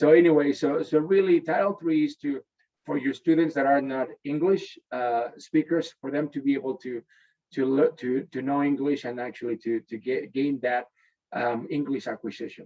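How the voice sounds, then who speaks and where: With a Spanish accent, a man talks at a moderate pace and fairly high pitch, with ordinary pitch variation. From Mexico City, Mexico. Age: 30s. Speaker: education company sales executive. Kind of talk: webinar presentation. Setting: video call. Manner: halting, many repetitions and fillers.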